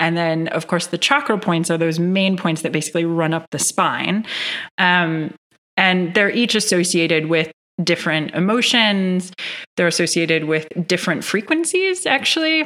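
A woman with an American accent speaks in a bright, sharp tone at a fairly low pitch, keeping a moderate pace and very even loudness. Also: ordinary pitch variation. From US Midwest, Northern Michigan. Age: 30s. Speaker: yoga teacher and meditation guide. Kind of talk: casual interview chat.

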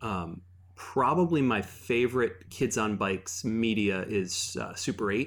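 In an ordinary speaking voice, a man speaks at a fairly slow pace with fairly low pitch and ordinary pitch variation. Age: 30s. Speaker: game designer. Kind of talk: casual chat.

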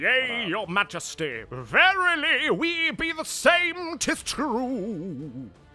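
Putting on a character voice, a man speaks at a very slow pace in an extremely high pitch with very wide pitch swings, faint music playing in the background. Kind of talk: archaic, mock-medieval. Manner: exaggerated, humble, playing at being antique.

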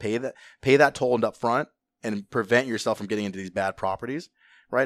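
An ordinary speaking voice from a man with an American accent, medium pitch, ordinary pitch variation and a fairly quick pace, in a very clean recording with a silent background and a dry, close sound with no echo. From Southern California, Orange County. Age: 20s. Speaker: real estate investor. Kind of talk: casual chat.

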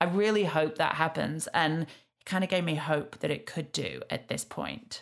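With vocal fry and a very deep, low pitch, a woman talks at a moderate pace using ordinary pitch variation. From Yorkshire, England. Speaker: podcast host. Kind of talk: casual chat.

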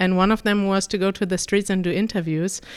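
A woman speaks at medium pitch with a German accent. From Germany. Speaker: YouTube language-learning host. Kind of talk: interview.

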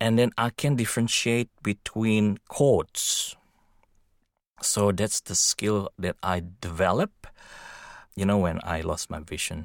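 A man speaks very slowly, with long, frequent pauses and ordinary pitch variation in a fairly low voice. The recording is very clean and dry, close-sounding with no echo and a silent background. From Indonesia. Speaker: blind musician and tech worker. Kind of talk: interview. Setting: studio. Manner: halting.

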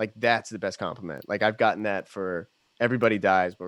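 A man speaks in a fairly low pitch with an American accent. His intonation stays fairly even against a quiet background. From Pennsylvania, Bucks County. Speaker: pop musician and producer. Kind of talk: casual chat.

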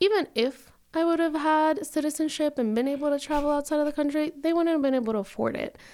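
A woman with a Spanish accent and a high voice of dark, mellow tone speaks very fast with hardly any pauses and ordinary pitch variation, on a very clean recording with a silent background. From Denver, Colorado (born in Mexico). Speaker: attorney. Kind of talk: interview.

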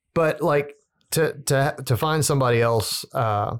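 Ordinary pitch variation marks a man's speech with a slight Southern US accent on a very clean recording with a silent background. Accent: little Southern. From Southern Louisiana. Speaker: musician. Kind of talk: casual chat.

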